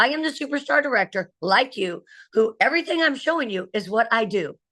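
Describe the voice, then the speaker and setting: A woman speaks in an animated tone, her voice bright and sharp at a fairly high pitch for a woman. The background is quiet. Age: 60s. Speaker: direct sales director. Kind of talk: training presentation on video call.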